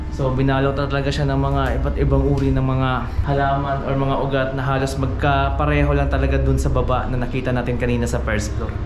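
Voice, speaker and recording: A man talking at a very fast pace with very even loudness, plus noticeable background noise. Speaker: urban explorer vlogger. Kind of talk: casual vlog chat. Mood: cautious, slightly spooked. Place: empty room. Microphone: phone near.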